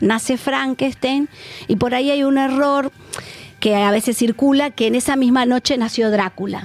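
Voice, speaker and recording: Music plays in the background as a woman with a high pitch talks at a moderate pace, her intonation fairly even, her loudness very even, and the sound dry and close with no echo. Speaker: psychoanalyst. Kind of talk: radio interview.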